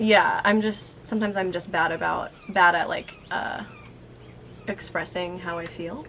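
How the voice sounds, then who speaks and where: Noticeable background noise sits behind this woman's voice. She talks at a fairly slow pace, with medium pitch and ordinary pitch variation. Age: 20s. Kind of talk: casual talk to camera.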